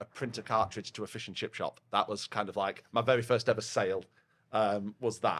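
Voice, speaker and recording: A man talks at a fairly quick clip in a Yorkshire accent. His intonation stays flat and monotone. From northern England, Yorkshire (Rotherham). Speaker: head of partnerships at a software vendor. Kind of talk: casual podcast chat. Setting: pub. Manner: loud.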